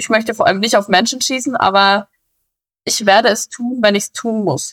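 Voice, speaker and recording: A woman's fairly high voice at a fairly quick pace. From Bavaria. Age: 20s. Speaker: police officer. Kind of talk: interview. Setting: recorded at home.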